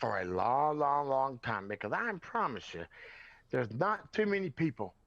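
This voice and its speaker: In a Southern US accent, a man speaks at a moderate pace in a fairly high voice with very wide pitch swings and an animated tone. The background is quiet. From US South, rural North Carolina. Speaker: podcast guest. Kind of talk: impassioned interview talk. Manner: animated, emphatic.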